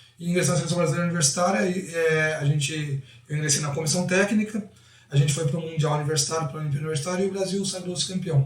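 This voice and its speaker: Against noticeable background noise, a high-pitched man talks very fast with ordinary pitch variation. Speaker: football coach. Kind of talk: interview.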